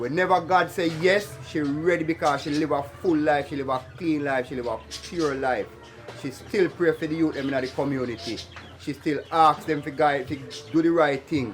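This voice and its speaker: Over music in the background, a man talks at a moderate pace, his fairly high pitch varying in an ordinary way. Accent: Jamaican. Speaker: video interviewer. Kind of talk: casual vlog intro.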